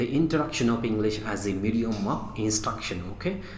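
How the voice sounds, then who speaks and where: Amid audible room echo and noticeable background noise, a man speaks fairly quickly at a medium pitch with ordinary pitch variation. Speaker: teacher. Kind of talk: lecture. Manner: halting.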